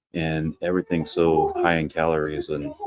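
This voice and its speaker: Very deep and low in pitch, a man's voice comes through with a dry, close sound and no echo. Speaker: travel vlogger. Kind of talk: live stream chat. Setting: public lounge on a cruise ship. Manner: casual, hesitant with fillers.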